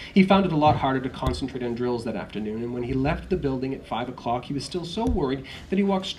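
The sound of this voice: Lively intonation runs through the delivery. It comes in an unforced reading voice.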